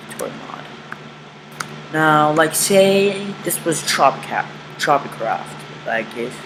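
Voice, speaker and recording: Noticeable background noise fills the clip. Over it, the words come at a very slow pace. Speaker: YouTube tutorial creator. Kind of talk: tutorial. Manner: halting; casual.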